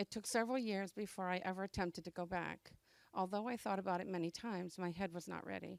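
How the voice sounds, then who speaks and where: Heard in a very clean recording with a silent background and a dry, close sound with no echo, a plain, everyday voice moves at a fairly quick pace with fairly even intonation. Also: woman. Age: 60s. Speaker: adult education graduate. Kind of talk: graduation speech. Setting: graduation ceremony with audience. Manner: reading a prepared speech.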